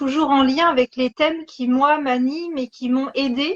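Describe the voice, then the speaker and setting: A very slow, high-pitched female voice. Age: 40s. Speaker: osteopath and singer. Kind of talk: casual interview. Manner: halting.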